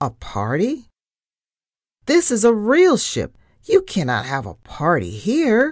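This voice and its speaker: A squeaky, put-on character voice, fairly high in pitch, at a fairly slow pace with long, frequent pauses. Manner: indignant, surprised.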